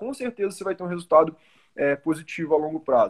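The man speaks with lively intonation. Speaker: crypto education company CEO. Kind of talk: casual chat.

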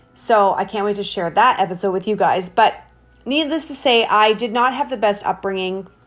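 A woman speaks with a Canadian accent and ordinary pitch variation. Music plays in the background. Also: medium pitch for a woman, moderate pace. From Canada, Hamilton, Ontario. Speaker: podcast host. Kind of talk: casual monologue. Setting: home office. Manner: animated.

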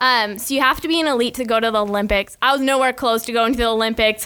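Bright and sharp in tone, a woman with an American accent talks at a very fast pace in a fairly high, animated voice. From Michigan, US Midwest. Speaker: college gymnast and podcaster. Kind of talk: casual interview.

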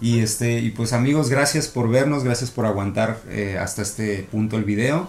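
A normal speaking voice moves at a moderate pace, its pitch varying in an ordinary way. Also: man. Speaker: podcast co-host. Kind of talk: casual chat.

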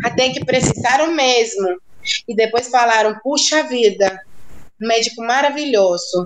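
Noticeable background noise beneath a voice with ordinary pitch variation. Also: woman. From central rural Cuba. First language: Spanish (speaking Portuguese). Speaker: doctor. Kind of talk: interview.

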